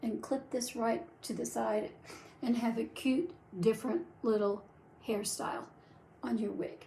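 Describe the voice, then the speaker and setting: At a fairly high pitch, a woman speaks with a dark, mellow tone, vocal fry, lively intonation and long, frequent pauses. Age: 70s. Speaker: wig reviewer and vlogger. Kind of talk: product tutorial. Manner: chatty, animated.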